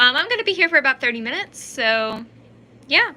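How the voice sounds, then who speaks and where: Raised and projected, a woman's high-pitched voice has a bright, sharp tone and very wide pitch swings. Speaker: YouTuber and author. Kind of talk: casual livestream Q&A. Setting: livestream on camera. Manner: rambling, filler-heavy; stuttering.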